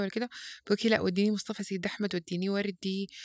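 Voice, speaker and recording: A woman talks at a very fast pace with a medium pitch. The recording is very clean, with a silent background. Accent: Sudanese. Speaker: parenting educator. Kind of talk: podcast interview. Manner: loud; halting, many false starts.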